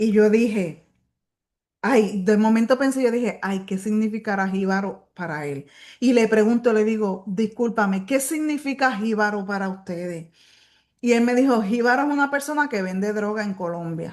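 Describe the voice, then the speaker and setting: A woman with a Puerto Rican accent talks at a moderate pace and a fairly high pitch, with ordinary pitch variation, against a quiet background. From Puerto Rico. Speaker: bible study teacher. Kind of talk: bible study lecture. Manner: conversational.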